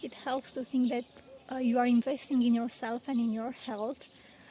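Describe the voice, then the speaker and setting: A woman with a non-native accent talks at a moderate pace and a high pitch. Her intonation is monotone and flat. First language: not English. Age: 30s. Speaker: vlogger. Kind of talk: casual vlog talk. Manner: halting, frequent fillers.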